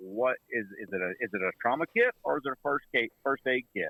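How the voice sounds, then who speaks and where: With a Southern US accent, a man talks at a fairly quick pace. His pitch is medium. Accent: Southern twang. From Mississippi, US South. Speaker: medical instructor and trauma kit business owner. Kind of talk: casual podcast interview. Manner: animated.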